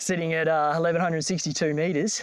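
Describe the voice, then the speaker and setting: Speaking with an Australian accent, the man has a fairly high pitch. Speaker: travel vlogger. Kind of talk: casual vlog narration. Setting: outdoors. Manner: casual with many fillers.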